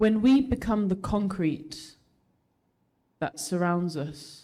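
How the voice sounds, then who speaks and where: Someone speaks at a very slow pace in a Birmingham accent. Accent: Birmingham English (Brummie). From England, Birmingham. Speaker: spoken word poet. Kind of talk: spoken word performance; casual chat with audience.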